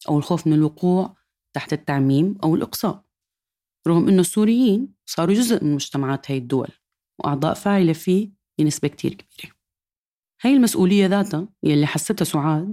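With a dark, mellow tone and lively intonation, a woman speaks at a moderate pace in a fairly low pitch. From Syria. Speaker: podcast host and editor. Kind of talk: scripted narration.

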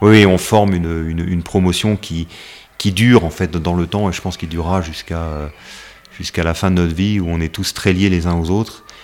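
Against noticeable background noise, a man with a very deep, low pitch speaks at a fairly quick pace with fairly even intonation. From West Africa. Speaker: army officer. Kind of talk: interview. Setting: office.

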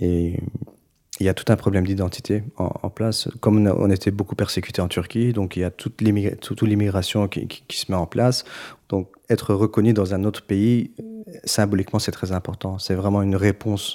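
This man's voice is fairly low, with a dark, mellow tone and monotone, flat intonation at a moderate pace. The recording is very clean, with a silent background. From Belgium, Brussels, Turkish family. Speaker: musician. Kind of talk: documentary interview.

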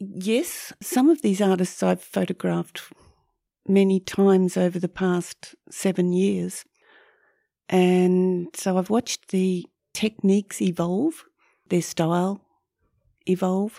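On a very clean recording with a silent background, a woman with an Australian accent and a medium pitch reads very slowly with long, frequent pauses, her dark, mellow tone and fairly even intonation captured dry and close with no echo. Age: 70s. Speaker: photographer. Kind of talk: casual interview chat. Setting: studio.

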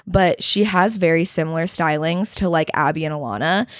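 A woman with an American accent talks in a plain, everyday voice at a fairly low pitch. The recording is very clean, with a silent background. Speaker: podcast host. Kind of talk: casual chat.

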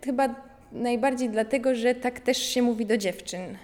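Amid noticeable background noise, a woman with a high pitch talks at a moderate pace with fairly even intonation. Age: 20s. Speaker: art student, sculptor. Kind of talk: interview. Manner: halting.

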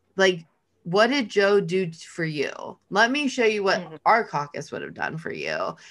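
In a plain, everyday voice with an American accent, the speaker talks at a moderate pace with lively intonation. Loudness swings widely over a quiet background. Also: woman, medium pitch for a woman. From Los Angeles, California. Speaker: podcast co-host. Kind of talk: casual chat.

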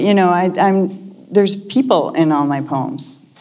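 A woman with an American accent. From US Northeast, Lexington, Massachusetts. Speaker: poet. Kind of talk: conversation before a live audience.

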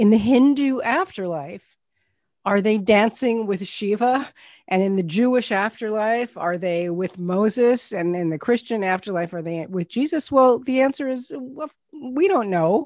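The background stays quiet. A woman speaks fairly slowly, her intonation lively. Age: 60s. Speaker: clinical chaplain and end of life educator. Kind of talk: interview.

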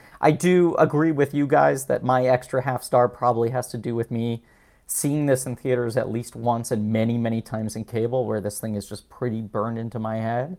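Here is a man with an American accent and an unremarkable speaking voice, pitched medium with ordinary variation. The recording is very clean with a silent background. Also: fairly quick pace. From New York. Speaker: voice actor and comedian. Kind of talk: casual chat.

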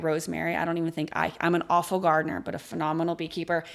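A Texan accent comes through in monotone, flat intonation on a very clean recording with a silent background. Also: woman. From rural West Texas. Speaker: beekeeper. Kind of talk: interview.

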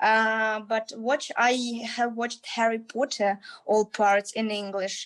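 A woman speaks at a fairly high pitch and a very slow pace, in a monotone, flat intonation. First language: Ukrainian or Russian. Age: young. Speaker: university student and English teacher. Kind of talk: casual interview chat. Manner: halting, many fillers.

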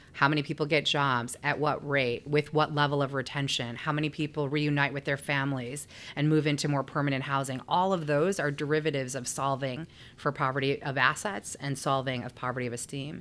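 A woman with a Chicago accent, very deep and low in pitch, fairly quick with hardly any pauses and fairly even intonation, on a very clean recording with a silent background. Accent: Chicago-area American. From Chicago area (Skokie). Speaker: nonprofit CEO. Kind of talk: interview.

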